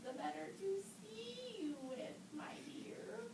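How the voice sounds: A woman puts on a cartoonish character voice at an extremely high pitch, with big pitch swings and vocal fry. She speaks slowly.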